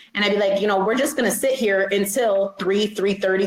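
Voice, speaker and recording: A woman's medium-pitched voice with an American accent, fairly quick, with music in the background. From western New York (Rochester). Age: 30s. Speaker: judge. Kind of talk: interview. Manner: fast.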